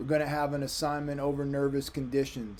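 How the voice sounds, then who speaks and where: Amid audible room echo, a man with a dark, mellow tone talks at a fairly quick pace and a medium pitch. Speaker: history professor. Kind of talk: recorded lecture. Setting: recorded video for online course. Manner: casual.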